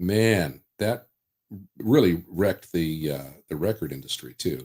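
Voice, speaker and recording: Vocal fry runs through a lively, fairly slow delivery in a General American accent. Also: man, very deep, low pitch for a man. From Southern California. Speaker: voice-over artist. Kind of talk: interview.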